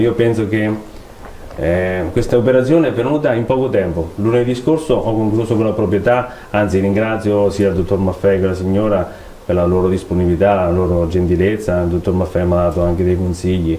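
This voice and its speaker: In a room with audible echo and light background noise, a man with a very deep, low pitch talks at a fairly quick pace with ordinary pitch variation. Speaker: clothing shop owner. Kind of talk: casual interview. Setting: studio. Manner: halting, hesitant. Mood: relaxed, smiling, animated. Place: studio.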